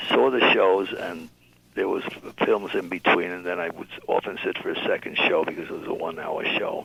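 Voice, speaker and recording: Fairly quick talk from a man with a New York accent and big swings in loudness, over noticeable background noise. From New York City. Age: 80s+. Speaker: music label founder and drummer. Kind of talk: interview. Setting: radio show. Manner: halting.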